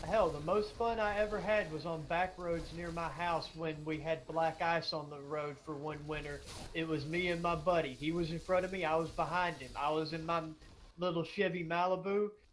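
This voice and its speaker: With a Southern US accent, a man talks at a moderate pace in a high pitch, his intonation fairly even, and audible room echo surrounds him. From US South, Georgia. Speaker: gaming streamer. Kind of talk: casual chat.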